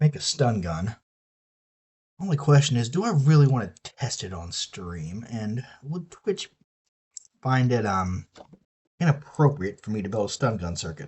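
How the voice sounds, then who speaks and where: A man with a Southern US accent talks at a moderate pace in a medium, somewhat breathy voice. His pitch swings very widely. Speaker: streamer. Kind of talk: casual chat. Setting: live stream. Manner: casual, profane.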